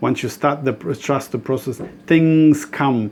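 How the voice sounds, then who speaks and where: A man speaks at a fairly slow pace with a non-native accent. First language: not English. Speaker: spiritual author and dream interpreter. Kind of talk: spiritual talk to camera. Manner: halting, with many restarts.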